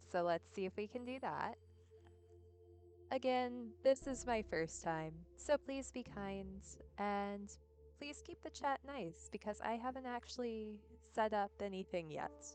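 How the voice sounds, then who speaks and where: A soft-spoken woman at a fairly slow pace. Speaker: streamer. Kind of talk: casual chat. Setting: live stream. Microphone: too quiet.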